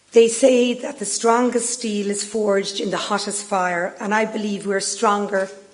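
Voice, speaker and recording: A woman speaks with an Irish accent and fairly even intonation. Noticeable background noise runs behind her. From Ireland. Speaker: business executive. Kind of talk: speech. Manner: formal.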